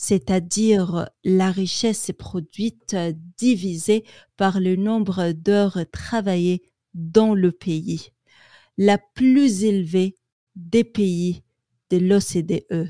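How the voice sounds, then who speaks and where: On a very clean recording with a silent background, a woman speaks in a dark, mellow tone. Her pace is very slow, with long, frequent pauses. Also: medium pitch for a woman, fairly even intonation, dry, close sound with no echo. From Quebec, Canada. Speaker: French language student. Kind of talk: newspaper article reading.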